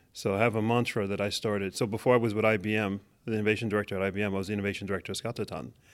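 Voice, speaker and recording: A man with a New York accent speaks very fast in a fairly low, monotone, flat voice on a very clean recording with a silent background. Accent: New York American English. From New York City (Manhattan). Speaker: technology executive. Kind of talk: interview.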